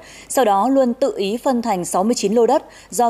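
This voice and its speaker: A woman speaks with a dark, mellow tone and a fairly high pitch. Her intonation is lively. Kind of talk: news reading. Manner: formal.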